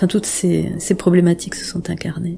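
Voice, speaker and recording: Noticeable background noise accompanies a woman talking at a moderate pace and medium pitch. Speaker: sound artist and composer. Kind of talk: interview. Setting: radio interview. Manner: halting, many repetitions.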